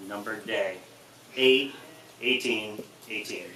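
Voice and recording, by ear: The tone is fairly bright, and room echo can be heard. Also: man.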